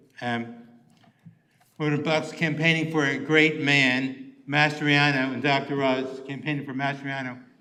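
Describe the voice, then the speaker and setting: A fairly high-pitched man's voice at a moderate pace, with fairly even intonation and audible room echo. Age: 70s. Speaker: public commenter. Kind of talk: public comment. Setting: county commissioners' meeting. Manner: halting.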